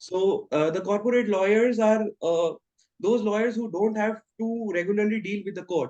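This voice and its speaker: A man's high, dark, mellow voice with an Indian accent, at a moderate pace with fairly even intonation. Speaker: law student. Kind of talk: interview answer.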